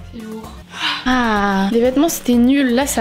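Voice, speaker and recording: Noticeable background noise fills the recording. Over it, a woman talks in a high voice. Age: 20s. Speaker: vlogger. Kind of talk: casual vlog talk to camera. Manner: animated.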